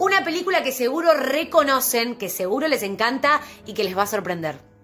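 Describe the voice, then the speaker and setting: The speaker keeps a moderate pace while faint music plays in the background. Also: woman. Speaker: theatre teacher. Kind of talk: lecture. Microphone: phone near.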